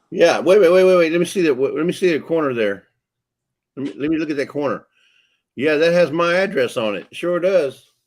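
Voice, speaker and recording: On a very clean recording with a silent background, a man with a Texan accent talks at a fairly quick pace, his fairly high pitch showing ordinary variation. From Texas. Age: 60s. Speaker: livestream co-host. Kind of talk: casual chat. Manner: relaxed, chatty.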